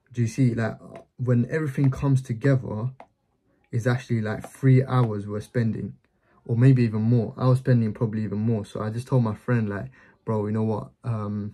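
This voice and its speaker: This man's voice is somewhat breathy, and his intonation stays fairly even. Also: moderate pace. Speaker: business vlogger. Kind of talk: casual explanatory vlog chat.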